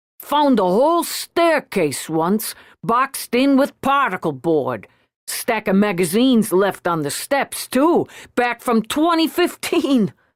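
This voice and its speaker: In a put-on character voice, a woman speaks at a fairly slow pace and fairly high pitch, her pitch swinging very widely while her loudness stays very even. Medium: read story. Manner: blunt, working-class.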